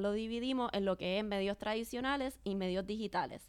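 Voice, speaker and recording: On a very clean recording with a silent background, a woman in an ordinary speaking voice talks at a moderate pace, her medium pitch fairly even in intonation. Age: young. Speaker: marketing director. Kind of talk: interview.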